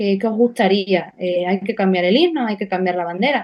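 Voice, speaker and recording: A woman speaking at a fairly quick pace, with ordinary pitch variation, against a quiet background. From Extremadura, Spain. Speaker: political activist. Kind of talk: interview.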